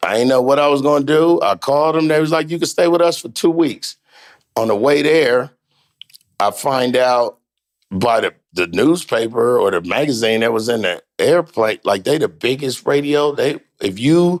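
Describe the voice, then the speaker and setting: A man's fairly high voice with lively intonation, at a moderate pace. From US, California. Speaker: comedian. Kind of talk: casual chat. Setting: studio. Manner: animated.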